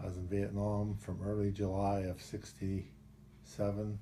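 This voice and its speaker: A man's fairly low, somewhat breathy voice carries a dark, mellow tone and fairly even intonation. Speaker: war veteran. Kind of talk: testimony.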